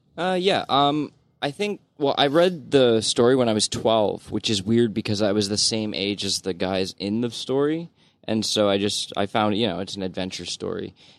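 This man has a plain, everyday voice at medium pitch, speaking at a moderate pace with lively intonation. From Ontario, Canada. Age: 30s. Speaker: podcast panelist. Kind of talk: casual chat.

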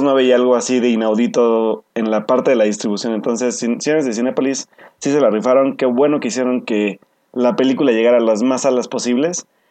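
At a fairly quick pace, a man talks in a medium pitch with a dark, mellow tone and ordinary pitch variation. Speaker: podcast co-host. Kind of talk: casual chat.

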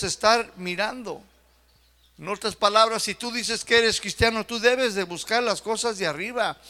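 A man's high-pitched, raised and projected voice with a bright, sharp tone. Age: young. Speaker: pastor. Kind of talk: sermon. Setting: church.

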